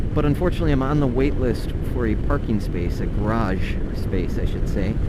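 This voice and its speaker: Fairly low-pitched male speech with an American accent at a fairly quick pace, very wide pitch swings and very even loudness, plus noticeable background noise and audible room echo. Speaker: motorcycle vlogger. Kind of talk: casual vlog narration while riding. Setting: riding a motorcycle, helmet intercom. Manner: casual, chatty.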